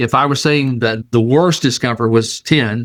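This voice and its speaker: Here is a man with an ordinary speaking voice, medium in pitch, with ordinary pitch variation at a moderate pace. The recording is very clean, with a silent background. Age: 60s. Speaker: show host sharing personal health testimony. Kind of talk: testimony. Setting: video recording on camera. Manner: casual, conversational.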